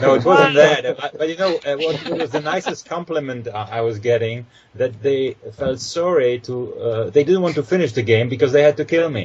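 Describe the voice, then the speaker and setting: A man's fairly high voice with hardly any pauses, over noticeable background noise. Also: ordinary pitch variation, moderate pace. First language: Polish. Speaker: actor. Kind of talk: casual chat. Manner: halting.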